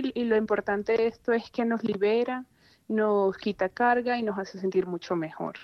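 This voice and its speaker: This is a woman with a normal speaking voice. Her pitch is fairly high and her pace moderate. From Venezuela, Maracaibo. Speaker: guest, Venezuelan migrant, mother. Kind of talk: casual chat. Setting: phone call.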